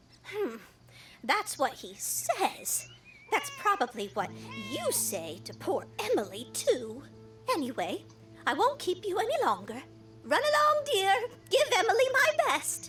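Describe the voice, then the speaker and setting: With clear music behind it, a put-on character voice moves at a fairly slow pace. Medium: game stream. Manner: chatty, tart.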